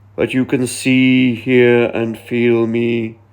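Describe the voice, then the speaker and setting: Using a put-on character voice, a man delivers his lines at a very slow pace with medium pitch and monotone, flat intonation. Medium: read story.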